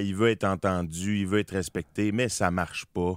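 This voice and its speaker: In a strong Quebec accent, a man talks at a fairly slow pace and fairly low pitch, with a dry, close sound with no echo and a very clean recording with a silent background. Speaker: actor. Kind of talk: radio interview. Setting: studio. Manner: hesitant, many repetitions.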